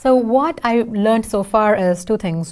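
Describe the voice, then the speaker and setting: A woman with an Indian accent at a moderate pace, on a very clean recording with a silent background. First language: Tamil. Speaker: software engineer and singer. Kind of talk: casual interview.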